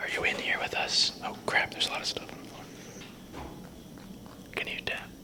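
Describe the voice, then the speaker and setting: Someone whispers with long, frequent pauses over noticeable background noise. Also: fairly quick pace. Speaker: paranormal investigator. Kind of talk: whispered paranormal investigation ASMR. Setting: outdoors. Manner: whispered.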